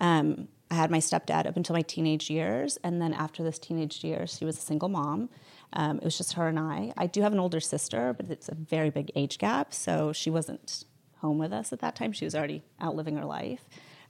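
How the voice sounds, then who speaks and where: In a very clean recording with a silent background, a woman with a very deep, low pitch and vocal fry talks fairly quickly with lively intonation. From born in Barcelona, raised mostly in the US. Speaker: fashion influencer. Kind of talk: casual interview.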